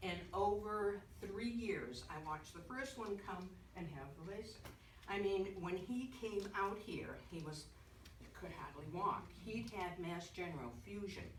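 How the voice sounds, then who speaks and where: A woman talks at a fairly slow pace with lively intonation and a medium pitch. Audible room echo surrounds her voice. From Boston. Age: 70s. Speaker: retired nurse giving a patient testimonial. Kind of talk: testimony. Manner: animated.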